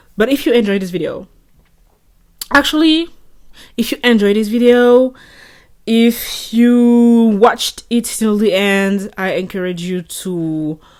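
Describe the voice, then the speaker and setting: With a French accent, a woman talks at a fairly slow pace and ordinary pitch variation, leaving long, frequent pauses. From France. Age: 20s. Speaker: vlogger. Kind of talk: casual monologue. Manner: rambling stream of consciousness.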